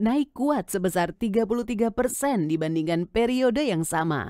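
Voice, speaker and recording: With lively intonation, a woman speaks at a moderate pace and medium pitch in an ordinary speaking voice, with a dry, close sound with no echo. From Indonesia. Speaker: voice-over artist. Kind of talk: corporate narration.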